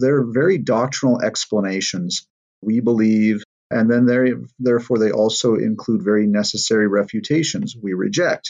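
Using an unremarkable speaking voice, a man talks at a moderate pace with medium pitch, ordinary pitch variation and very even loudness. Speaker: pastor, teacher. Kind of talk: teaching, explaining.

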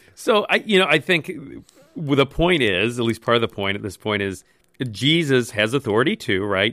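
An unremarkable speaking voice from a man, medium in pitch, moves at a moderate pace with lively intonation. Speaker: pastor. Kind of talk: casual chat.

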